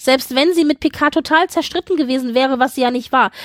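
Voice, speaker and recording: An animated tone in a dry, close recording with no echo. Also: woman. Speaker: podcast co-host. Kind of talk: casual chat.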